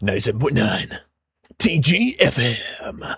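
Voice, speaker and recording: A man puts on a character voice with a fairly high pitch and very wide pitch swings. He moves at a moderate pace. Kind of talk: announcer.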